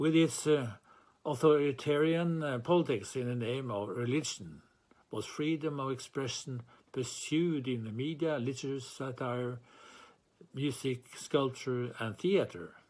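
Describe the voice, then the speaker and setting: A man with a Norwegian accent, a medium pitch, ordinary pitch variation and a fairly slow pace. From Norway. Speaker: chair of a writers' freedom organisation. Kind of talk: formal speech. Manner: formal.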